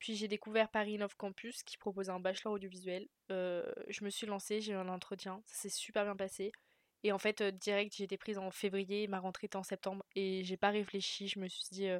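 On a very clean recording with a silent background, a woman speaks in a medium pitch with monotone, flat intonation. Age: 20s. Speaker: film student. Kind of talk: interview. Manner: hesitant, many fillers.

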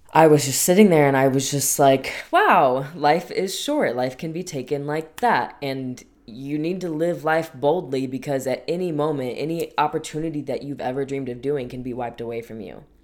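A woman's very deep, low voice at a moderate pace, with hardly any pauses, ordinary pitch variation, big swings in loudness and noticeable background noise. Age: 20s. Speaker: podcast host. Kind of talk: personal monologue. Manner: casual, chatty.

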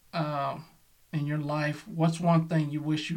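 At a fairly quick pace, a man talks in a somewhat breathy voice with a fairly high pitch. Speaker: podcast host. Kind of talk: interview.

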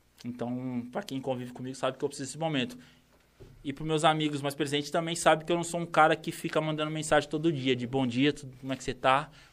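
A man talks at a very fast pace with a fairly high pitch. His intonation is fairly even, with big swings in loudness. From interior of São Paulo state, Brazil (Campinas). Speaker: rapper. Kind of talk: casual chat. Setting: studio.

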